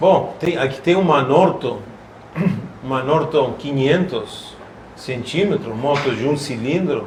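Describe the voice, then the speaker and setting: A man with a fairly high pitch speaks at a very slow pace with long, frequent pauses and ordinary pitch variation, over noticeable background noise and audible room echo. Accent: Argentine. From Argentina. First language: Spanish (speaking Portuguese). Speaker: classic vehicle collector. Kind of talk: casual chat. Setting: shopping mall exhibition.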